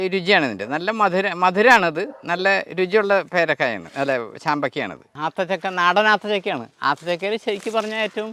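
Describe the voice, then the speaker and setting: A man speaks in a raised, projected, high-pitched voice with a bright, sharp tone and ordinary pitch variation. The recording is very clean, with a silent background. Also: dry, close sound with no echo. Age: 60s. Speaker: retired bank officer turned fruit farmer. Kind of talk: farm tour explanation.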